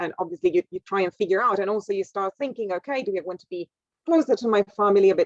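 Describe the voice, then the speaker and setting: In a medium pitch with ordinary pitch variation, a woman with a non-native accent speaks in a dry, close sound with no echo. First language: not English. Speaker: scientist, university researcher. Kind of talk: career talk to school class. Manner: halting, with many repetitions and fillers.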